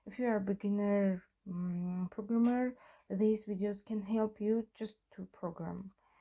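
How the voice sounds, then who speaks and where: A woman speaks with a non-native accent at a medium pitch, fairly slowly, in a dark, mellow, somewhat breathy tone. Her intonation is monotone and flat, while her loudness swings widely. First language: not English. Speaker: programming tutorial maker. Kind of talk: tutorial. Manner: halting, many fillers.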